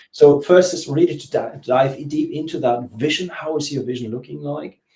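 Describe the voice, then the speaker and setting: A man in a German accent, fairly high in pitch, somewhat breathy with a dark, mellow tone, moderate in pace, with ordinary pitch variation and big swings in loudness. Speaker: business coach. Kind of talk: interview. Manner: halting.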